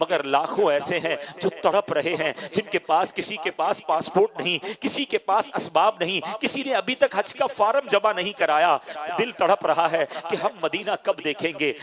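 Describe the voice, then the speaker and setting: A man talks in a high pitch with lively intonation. The sound is dry and close with no echo, though noticeable background noise is present. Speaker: Islamic preacher giving a sermon. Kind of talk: emotional Islamic sermon (bayan).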